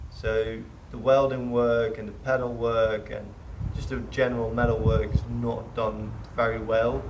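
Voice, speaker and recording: A man speaks at a fairly slow pace, his loudness swinging widely, with audible room echo and noticeable background noise. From Netherlands. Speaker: car restoration hobbyist. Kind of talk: casual walkthrough. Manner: hesitant.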